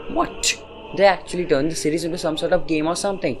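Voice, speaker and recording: A man speaks with music playing in the background. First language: not English. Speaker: anime reviewer. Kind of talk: opinionated review. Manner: casual, exasperated.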